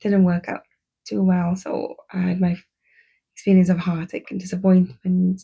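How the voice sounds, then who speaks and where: A somewhat breathy woman's voice, medium in pitch and dark and mellow in tone, at a fairly slow pace. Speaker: podcaster, former teacher. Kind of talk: personal storytelling.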